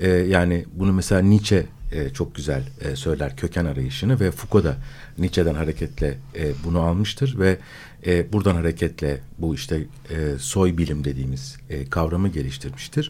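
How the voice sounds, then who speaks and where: Very deep and low in pitch, a man speaks in a dark, mellow tone with vocal fry. His intonation is lively and his pace moderate. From Istanbul, Turkey. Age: 50s. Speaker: philosopher. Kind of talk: radio discussion. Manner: halting, many filler sounds.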